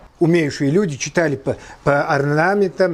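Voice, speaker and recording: Noticeable background noise runs behind a man speaking at a fairly slow pace. His pitch is fairly high, with ordinary variation. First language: Kabardian (speaking Russian). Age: 60s. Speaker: horse tack craftsman. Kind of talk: interview.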